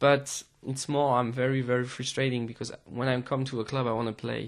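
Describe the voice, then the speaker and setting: The speech comes in a French accent at a moderate pace. Its intonation is monotone and flat. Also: man. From France. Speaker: DJ and music producer. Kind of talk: interview. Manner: hesitant, many fillers.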